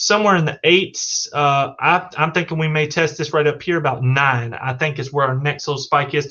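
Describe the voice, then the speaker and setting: A man with a fairly high pitch talks with hardly any pauses. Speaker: livestreamer discussing crypto. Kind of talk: live stream commentary. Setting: live stream. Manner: fast; animated.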